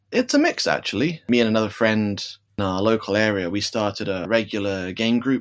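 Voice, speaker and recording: In a British accent, a man speaks fairly quickly in a fairly low voice with fairly even intonation. The recording is very clean, with a silent background. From UK. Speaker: game shop owner. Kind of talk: interview.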